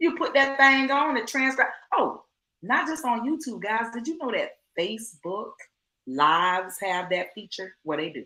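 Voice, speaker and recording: A woman speaks in a raised, projected voice at a moderate pace, bright and sharp in tone. Her tone is animated, with very wide pitch swings. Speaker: online business coach. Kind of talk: live stream teaching.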